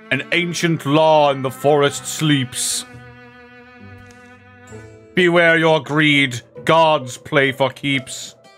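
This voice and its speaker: With clear music playing in the background, a man in a put-on character voice speaks very slowly at a fairly high pitch, with fairly even intonation and long, frequent pauses. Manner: ominous, prophetic.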